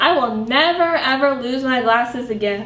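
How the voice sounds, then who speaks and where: A woman's high-pitched, put-on character voice at a moderate pace, with clear background noise. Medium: read story. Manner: polite, fussy.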